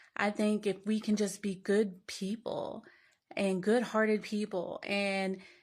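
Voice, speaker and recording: With a Southern US accent, a woman speaks at a medium pitch in a monotone, flat intonation. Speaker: social media commenter. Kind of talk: casual monologue to camera.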